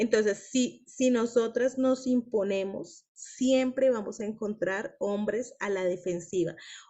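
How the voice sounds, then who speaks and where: At a very slow pace, this woman talks in a fairly high register. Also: ordinary pitch variation, hardly any pauses. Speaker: women's book club leader. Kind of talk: group discussion / teaching.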